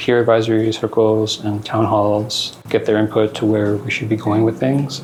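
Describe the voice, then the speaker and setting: With noticeable background noise behind him, a man speaks in a monotone, flat intonation. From northern Manitoba, Cree Nation. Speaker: housing systems navigator. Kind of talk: conference panel talk. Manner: casual, hesitant.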